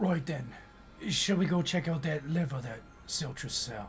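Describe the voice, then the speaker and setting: In a put-on character voice, a man sounds raspy and fairly high-pitched, speaking at a moderate pace over clear background noise. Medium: actual play. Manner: breezy, colloquial.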